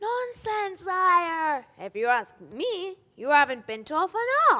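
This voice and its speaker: An extremely high, put-on character voice, very slow, with very wide pitch swings. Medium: stage play. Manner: pompous, fussy.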